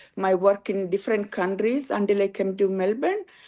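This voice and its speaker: In a very clean recording with a silent background, a woman with a plain, everyday voice speaks in a medium pitch with ordinary pitch variation. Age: 60s. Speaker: nurse. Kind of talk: personal testimony.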